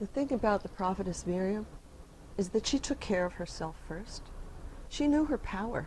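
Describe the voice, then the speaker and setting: A woman at a medium pitch speaks at a moderate pace, somewhat breathy, with lively intonation and long, frequent pauses. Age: 50s. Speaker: healing music founder and author. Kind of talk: casual talk to camera.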